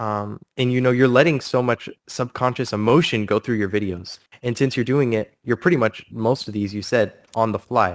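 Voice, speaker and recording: A man speaks in an unremarkable speaking voice at medium pitch with ordinary pitch variation. His pace is moderate, and the sound is dry and close with no echo. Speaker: livestream host interviewing a cardist. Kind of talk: casual live interview.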